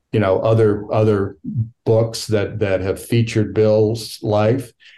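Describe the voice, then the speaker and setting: Speaking at a fairly slow pace, a man with an American accent has a fairly low pitch and a dark, mellow tone. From Virginia, US. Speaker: documentary film director. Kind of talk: interview answers. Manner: halting, thoughtful, filler words.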